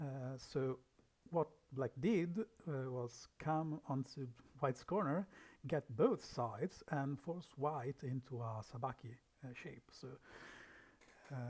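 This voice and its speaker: Soft-spoken and somewhat breathy, a man speaks at a very slow pace in a fairly high voice with ordinary pitch variation and long, frequent pauses. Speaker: league manager. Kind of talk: game review livestream.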